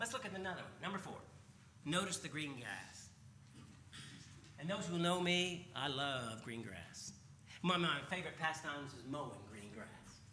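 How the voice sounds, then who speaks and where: There is audible room echo as a man talks at a moderate pace, his tone animated and his intonation lively. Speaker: preacher. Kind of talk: sermon. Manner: loud.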